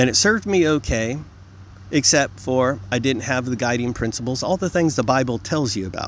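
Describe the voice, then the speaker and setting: This man has a normal speaking voice at medium pitch. He speaks at a moderate pace with lively intonation. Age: 50s. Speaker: vlogger. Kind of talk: monologue to camera. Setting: outdoors in a field. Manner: repetitive, frequent 'okay?' fillers.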